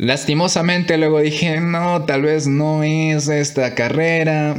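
Audible room echo and noticeable background noise around a man with a fairly high pitch. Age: 20s. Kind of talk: devotional monologue. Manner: halting.

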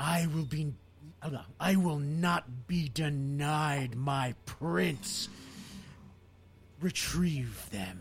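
In a guttural put-on character voice, the speaker moves at a very slow pace with long, frequent pauses over clear background noise. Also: man, fairly high pitch for a man. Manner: angry, hateful.

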